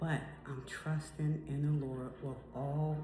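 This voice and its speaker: Amid noticeable background noise and audible room echo, a woman speaks at a very slow pace with a very deep, low pitch. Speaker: faith vlogger. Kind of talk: devotional talk. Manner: repetitive, earnest.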